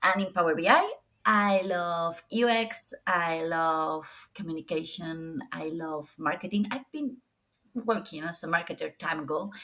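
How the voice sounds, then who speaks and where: A woman speaks with a Spanish accent. Her pace is fairly slow and her intonation lively. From Spain. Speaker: data visualization professional. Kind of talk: podcast interview. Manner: halting.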